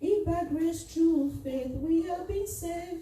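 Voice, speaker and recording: A woman with a Nigerian accent talks at a fairly slow pace, with audible room echo. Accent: Nigerian (Yoruba) English. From Nigeria (Yoruba). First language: Yoruba. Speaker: lay preacher and children's church teacher. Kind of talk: sermon.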